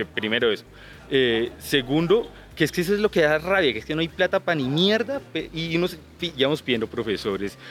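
The speech moves at a fairly quick pace with very wide pitch swings. Vocal fry is present. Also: man, fairly high pitch for a man. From Colombia, Boyacá (Duitama). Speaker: call center agent. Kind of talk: casual chat. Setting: outdoors.

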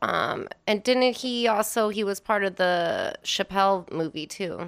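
On a very clean recording with a silent background, a woman speaks in a plain, everyday voice with an American accent. Her pitch is medium with ordinary variation, and she talks at a fairly slow pace. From Wisconsin, US Midwest. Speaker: DJ and vintage clothing reseller. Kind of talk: casual chat.

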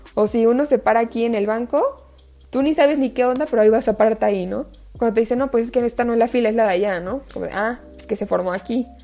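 A woman with a central Mexican accent talks at a very fast pace in a fairly high pitch, her loudness swinging widely over noticeable background noise. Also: ordinary pitch variation. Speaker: environmental activist and student. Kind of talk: casual interview chat. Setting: video call.

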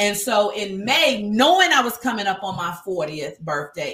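A woman's animated, lively intonation at a medium pitch and a fairly slow pace. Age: 50s. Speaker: speaker and nonprofit founder. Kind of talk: casual interview. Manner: loud.

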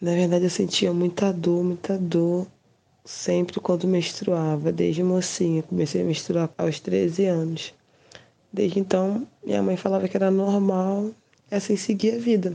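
A woman uses a normal speaking voice at a medium pitch. She goes at a fairly slow pace with very even loudness. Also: fairly even intonation. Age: 30s. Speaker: patient. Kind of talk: testimony.

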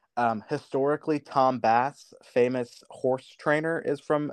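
An ordinary speaking voice delivers fairly even intonation at a moderate pace. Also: man. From US Midwest. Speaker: youth organization officer. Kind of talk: interview.

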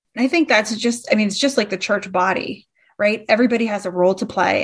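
Here is a woman with a plain, everyday voice. Her pace is fairly quick, and her pitch varies in an ordinary way. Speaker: church consultant. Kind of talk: casual chat.

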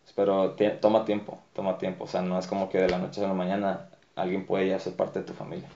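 A man with a very deep, low pitch talks at a very fast pace, his intonation fairly even. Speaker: dancer and dance group director. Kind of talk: casual interview.

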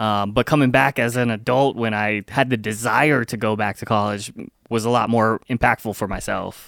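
In a very clean recording with a silent background and a dry, close sound with no echo, a man speaks in a plain, everyday voice at a moderate pace and medium pitch. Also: fairly even intonation. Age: 30s. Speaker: comedy podcast co-host. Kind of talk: casual chat. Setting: studio.

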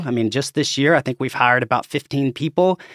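A man with an Arkansas accent speaks in a fairly high pitch with ordinary pitch variation and a bright, sharp tone. The recording is very clean with a silent background and a dry, close sound with no echo. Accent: Southern US (Arkansas). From Arkansas, US South. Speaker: laboratory chief executive and pathologist. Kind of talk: casual interview.

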